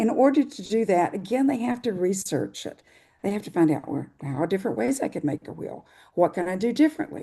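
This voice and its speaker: Her tone is dark and mellow, at a medium pitch with very wide pitch swings. The woman talks at a fairly quick pace against a quiet background. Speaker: science fair coordinator. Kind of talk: webinar presentation. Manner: fast.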